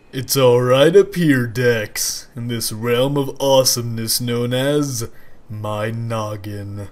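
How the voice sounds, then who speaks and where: At a fairly slow pace, a man speaks at a medium pitch with ordinary pitch variation. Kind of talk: comic overacting. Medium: machinima. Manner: boastful, goofy, hyperactive.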